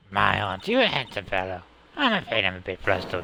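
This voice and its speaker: A man puts on a raspy character voice, very deep and low. He rattles along at a very fast pace. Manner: sweet, flustered, flirty.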